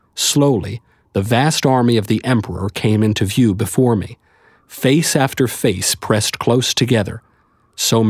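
Someone is doing plain reading aloud here.

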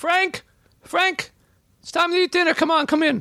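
Fairly slow delivery in a put-on character voice. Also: man, extremely high pitch for a man. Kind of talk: calling someone to dinner.

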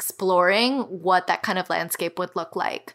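A woman's medium-pitched voice with an American accent, at a moderate pace with ordinary pitch variation. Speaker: podcast co-host. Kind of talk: casual chat.

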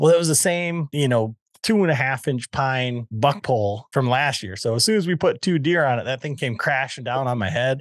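With an unremarkable speaking voice, a man talks at medium pitch and a moderate pace, with lively intonation and hardly any pauses, in a dry, close sound with no echo over a quiet background. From West Michigan. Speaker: podcast host and bowhunter. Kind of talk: casual chat.

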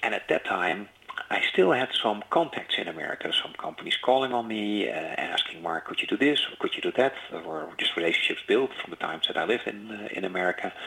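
A man talking at a fairly quick pace with hardly any pauses, over noticeable background noise. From Netherlands. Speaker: business executive. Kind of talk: interview. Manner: halting.

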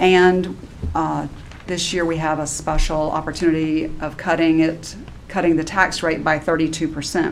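A woman's very deep, low voice in monotone, flat intonation at a fairly slow pace, over noticeable background noise. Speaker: township administrator. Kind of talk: formal public meeting. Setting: township meeting room.

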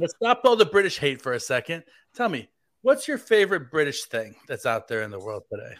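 A man with an American accent, high-pitched, at a fairly quick pace, with very wide pitch swings and big swings in loudness, in a very clean recording with a silent background. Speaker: fill-in podcast host. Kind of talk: casual chat. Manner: joking.

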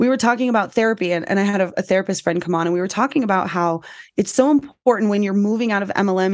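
Speaking very fast, the woman has an American accent. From US West Coast, San Diego. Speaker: podcast host and former MLM seller. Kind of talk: casual interview chat.

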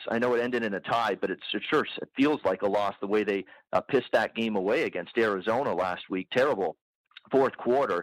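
On a very clean recording with a silent background, a man with a plain, everyday voice talks at medium pitch and a fairly quick pace, with ordinary pitch variation and a dry, close sound with no echo. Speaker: sports bettor. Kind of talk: casual sports betting chat.

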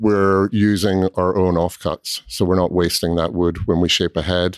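In a very clean recording with a silent background and a dry, close sound with no echo, a man with a slight Scottish accent speaks fairly slowly at a very deep, low pitch with fairly even intonation. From Scotland. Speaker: cooperage owner. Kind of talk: casual interview.

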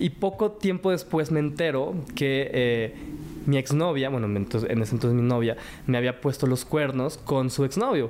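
A man with a plain, everyday voice, medium pitch, lively intonation, very even loudness and a moderate pace. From Mexico. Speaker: cooking show winner and TV host. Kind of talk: interview testimony.

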